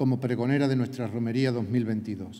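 At a moderate pace, a man speaks with fairly even intonation and a dark, mellow tone. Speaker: parish priest. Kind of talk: homily-style blessing; formal speech at ceremony. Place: stage. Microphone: podium.

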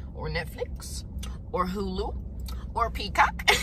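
Loud background noise surrounds a woman's voice, recorded with a dry sound and no echo. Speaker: vlogger. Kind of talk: casual vlog chat. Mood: good mood, excited. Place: car. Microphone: phone near.

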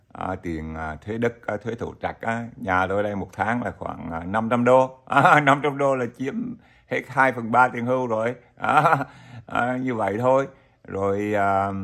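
In a quiet background, a man speaks very slowly with ordinary pitch variation. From Vietnam. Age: old. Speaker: YouTuber, retiree vlogger. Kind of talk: casual vlog monologue; casual talk to viewers. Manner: halting, many fillers. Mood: friendly, smiling. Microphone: webcam.

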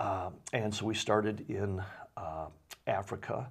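Against a quiet background, a man with a fairly low pitch and vocal fry speaks with ordinary pitch variation. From Michigan, Waterford; Michigan. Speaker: nonprofit director; interview guest. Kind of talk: interview. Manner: halting. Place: studio.

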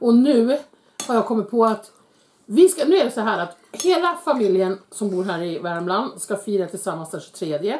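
Speaking at a moderate pace, a woman uses a fairly high pitch with very wide pitch swings. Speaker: YouTuber, mother eating with her son on camera; YouTuber. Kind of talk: casual mukbang chat. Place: kitchen. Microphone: camera far.

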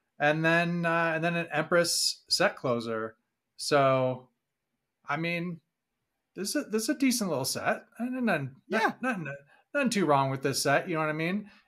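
A man with an American accent talks at a moderate pace in a high pitch, his voice swinging very widely up and down. The recording is very clean, with a silent background. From Boston area. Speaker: podcast co-host. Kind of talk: casual chat.

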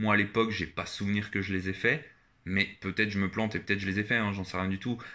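A man talks at a fairly quick pace in a bright, sharp tone. The recording is very clean, with a silent background. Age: 20s. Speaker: YouTuber. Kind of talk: casual vlog monologue. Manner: hesitant, many filler 'euh'.

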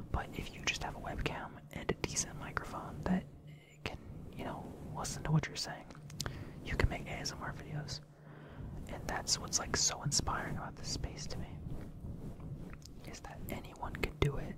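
Loud background noise runs beneath speech broken by long, frequent pauses. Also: moderate pace. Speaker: ASMR creator. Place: home room. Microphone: studio mic.

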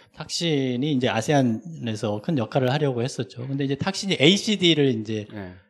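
Lively intonation runs through this man's speech. He has an unremarkable speaking voice at a medium pitch. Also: moderate pace, hardly any pauses. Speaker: professor. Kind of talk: academic discussant commentary.

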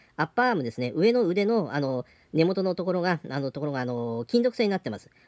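The voice makes very wide pitch swings. The background is quiet. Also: man. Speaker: hobby shop staff presenting products. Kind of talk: product presentation. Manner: halting, many fillers. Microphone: phone near.

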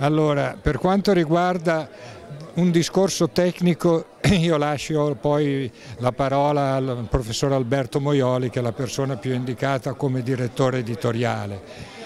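A man with an ordinary speaking voice talks at a fairly slow pace, his fairly high pitch showing ordinary variation, in a dry recording without echo and with light background noise. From northern Italy. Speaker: art encyclopedia publisher. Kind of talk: interview. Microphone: handheld.

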